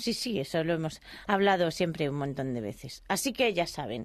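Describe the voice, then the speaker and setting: Against a quiet background, a woman talks at a moderate pace with lively intonation. She has an ordinary speaking voice. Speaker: radio host. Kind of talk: radio interview.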